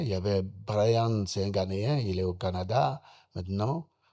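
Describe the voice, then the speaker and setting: A man speaks fairly low and somewhat breathy, his tone dark and mellow, with ordinary pitch variation. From Benin, Ouémé valley. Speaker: musician. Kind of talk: interview.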